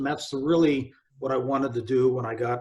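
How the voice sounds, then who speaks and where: This man's voice sits at a medium pitch and is somewhat breathy. His intonation stays fairly even. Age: 60s. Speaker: retired army general and motivational speaker. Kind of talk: interview.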